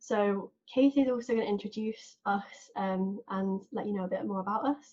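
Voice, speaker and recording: A woman speaks in a southern English accent at a moderate pace. Her somewhat breathy voice sits at a medium pitch with ordinary pitch variation. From southern England. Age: 20s. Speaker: podcast host. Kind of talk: casual chat.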